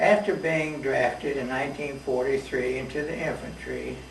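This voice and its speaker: A fairly high-pitched man with an American accent speaking fairly slowly, with audible room echo and noticeable background noise. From US South, Knoxville, Tennessee. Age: 80s+. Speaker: war veteran. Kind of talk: oral history interview.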